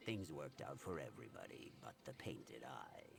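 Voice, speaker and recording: A put-on character voice swings very widely in pitch at a fairly quick pace. Clear background noise runs underneath. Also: man, very deep, low pitch for a man. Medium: video game. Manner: dry, sardonic.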